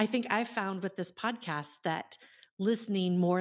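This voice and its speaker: With an American accent, a woman has a plain, everyday voice and ordinary pitch variation. She speaks at a moderate pace on a very clean recording with a silent background. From Iowa. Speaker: podcast host, entrepreneur. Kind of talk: interview chat.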